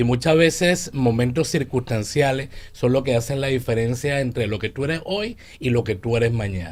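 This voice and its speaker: This man has a Venezuelan accent and a medium pitch. He speaks at a fairly quick pace. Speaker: leadership coach. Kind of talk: radio interview.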